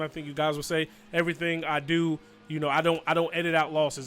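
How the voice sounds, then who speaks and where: Over music in the background, a man with an American accent talks very fast in a fairly high, flat monotone. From New Jersey. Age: 30s. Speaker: gaming YouTuber. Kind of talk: Q&A video monologue.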